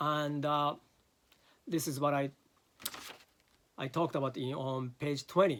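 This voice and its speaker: Fairly slow pace with long, frequent pauses and fairly even intonation. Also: man, fairly high pitch for a man. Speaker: philosophy lecturer. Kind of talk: lecture. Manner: halting, many fillers.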